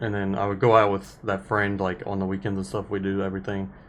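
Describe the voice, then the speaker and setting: This man talks in a fairly low pitch with monotone, flat intonation. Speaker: podcast host. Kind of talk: personal testimony. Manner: halting.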